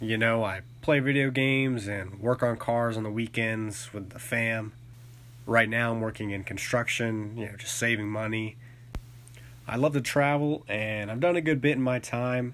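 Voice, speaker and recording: A man with a plain, everyday voice speaks at medium pitch and a moderate pace, his intonation fairly even. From North Carolina (Charlotte). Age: 20s. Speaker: podcast host. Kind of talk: solo podcast introduction. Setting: home recording with new mics. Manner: casual, filler-heavy.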